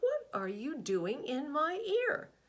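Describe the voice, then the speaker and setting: Squeaky and high-pitched, a woman performs a put-on character voice with very wide pitch swings. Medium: read story. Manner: gruff, matter-of-fact.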